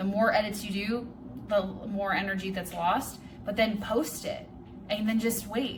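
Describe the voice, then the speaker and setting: A woman speaks at a moderate pace and medium pitch, with long, frequent pauses and a monotone, flat intonation. Audible room echo and noticeable background noise surround her. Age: 30s. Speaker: vlogger and life coach. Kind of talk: casual vlog monologue. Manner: rambling; stuttering at times.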